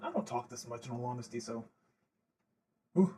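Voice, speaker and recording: A man speaks in a somewhat breathy voice. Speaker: audio story creator. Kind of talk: livestream Q&A. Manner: casual, hesitant with fillers.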